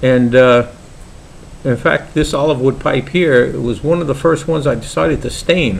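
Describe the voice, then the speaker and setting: Someone with a Brooklyn accent talks at a moderate pace, with ordinary pitch variation and noticeable background noise. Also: man. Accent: Brooklyn New York. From New York, Brooklyn. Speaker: pipe maker and hobby vlogger. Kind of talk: casual vlog introduction. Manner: hesitant, many fillers.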